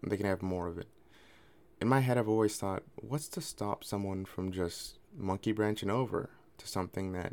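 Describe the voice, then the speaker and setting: A man speaks in an ordinary speaking voice. His pitch is fairly low. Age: 20s. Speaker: podcast host. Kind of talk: personal monologue. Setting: recording alone at night.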